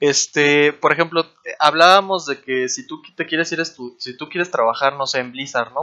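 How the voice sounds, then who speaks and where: A man speaks with a fairly high pitch at a moderate pace. He has an unremarkable speaking voice. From Mexico, Chetumal, Quintana Roo. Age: 20s. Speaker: 3D environment artist. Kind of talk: casual interview.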